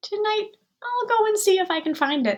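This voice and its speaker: A woman uses a squeaky, put-on character voice at an extremely high pitch. She speaks at a moderate pace. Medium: read story. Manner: innocent, wondering.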